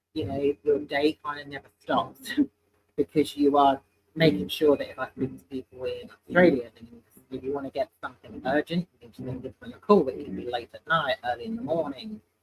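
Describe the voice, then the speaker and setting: Speaking with a British accent, a man with a fairly high pitch and a somewhat breathy voice talks at a fairly quick pace with lively intonation. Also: big swings in loudness. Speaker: sales manager. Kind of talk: casual interview chat. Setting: in person, live stream.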